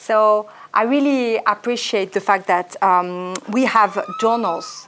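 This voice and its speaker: A woman speaks in a French accent. Noticeable background noise runs behind her. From France. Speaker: historian and author. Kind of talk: interview.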